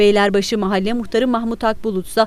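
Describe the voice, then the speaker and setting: Talking very fast, a woman with a fairly high pitch keeps a monotone, flat intonation. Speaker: news reporter. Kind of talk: TV news narration.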